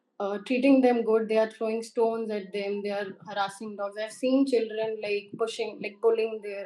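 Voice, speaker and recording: A woman with an Indian accent talks at a moderate pace and a fairly high pitch. Her tone is dark and mellow, her intonation monotone and flat. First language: Hindi. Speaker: interview candidate. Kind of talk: mock job interview. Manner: formal.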